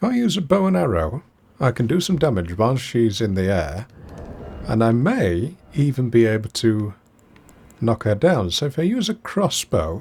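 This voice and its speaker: A somewhat breathy man at medium pitch makes very wide pitch swings. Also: moderate pace. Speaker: game streamer. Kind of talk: live gameplay commentary. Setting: live stream.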